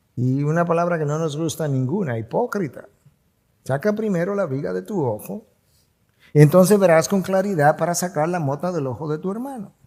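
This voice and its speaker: A man's high-pitched voice, dark and mellow in tone, with lively intonation at a moderate pace. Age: 60s. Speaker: pastor. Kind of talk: sermon.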